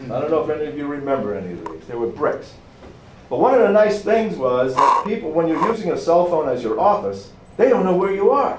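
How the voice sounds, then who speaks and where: Noticeable background noise and audible room echo surround this man. He talks very fast in a high pitch, his pitch swinging very widely. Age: 60s. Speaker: professor. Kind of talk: lecture. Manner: energetic.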